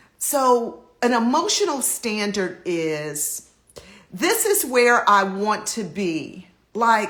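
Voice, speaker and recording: A woman talks with an animated tone and lively intonation at a fairly high pitch. There is audible echo in the room. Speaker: life coach hosting a live stream. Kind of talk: motivational Instagram live talk. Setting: Instagram live video.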